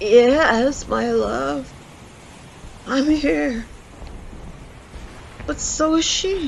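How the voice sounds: A raspy put-on character voice at a fairly high pitch, very slow pace with long, frequent pauses, over clear background noise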